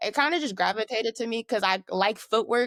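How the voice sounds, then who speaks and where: In a very clean recording with a silent background, a woman speaks at a fairly quick pace in an animated tone with ordinary pitch variation, the sound dry and close with no echo. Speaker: dancer. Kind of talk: casual interview.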